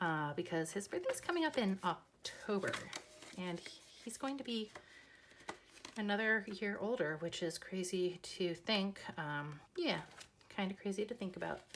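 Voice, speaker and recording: There is noticeable background noise as a woman with a medium-pitched voice speaks fairly slowly with ordinary pitch variation. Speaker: budgeting content creator. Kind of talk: casual talk to camera.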